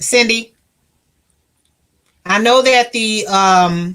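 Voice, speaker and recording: A woman's fairly high pitch shows ordinary variation. Her tone is bright and sharp. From Houston, Texas. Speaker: YouTuber and self-published poet. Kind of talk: live stream chat with viewers. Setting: live stream on laptop. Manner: gets loud when viewers arrive; halting, many fillers.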